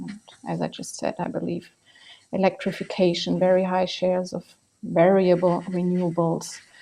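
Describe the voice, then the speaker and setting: Speaking at a medium pitch, the woman has a non-native accent. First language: not English. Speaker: energy policy expert. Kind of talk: panel discussion.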